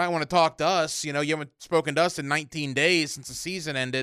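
A man's very fast, fairly high-pitched voice with a bright, sharp tone and fairly even intonation, on a very clean recording with a silent background. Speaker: sports radio host. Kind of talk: casual chat.

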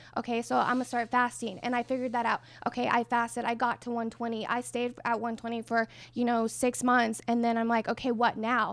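A woman speaks in a monotone, flat intonation at a fairly quick pace and a fairly high pitch. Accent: American. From New Mexico, US. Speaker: plant-based athlete and fitness influencer. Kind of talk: casual interview.

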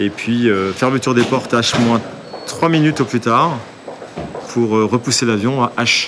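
A man talks at a very slow pace in a medium pitch, with fairly even intonation and very even loudness. Noticeable background noise sits behind him. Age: 50s. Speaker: airline captain and flight instructor. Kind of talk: guided workplace tour explanation. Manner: hesitant, frequent filler words.

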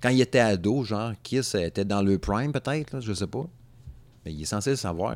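A man's moderately paced speech has lively intonation. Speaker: podcast host. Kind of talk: casual chat. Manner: animated.

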